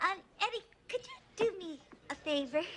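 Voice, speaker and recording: A woman's squeaky put-on character voice at an extremely high pitch, with very wide pitch swings and a moderate pace. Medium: short film. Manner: brassy, sarcastic.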